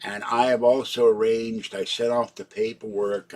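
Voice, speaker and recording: Against noticeable background noise, a man with a Pittsburgh accent speaks at a medium pitch. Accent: western Pennsylvania (Pittsburgh) American. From Pittsburgh, Pennsylvania. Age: 70s. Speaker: live streamer / vlogger. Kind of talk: casual live-stream monologue. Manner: rambling, halting.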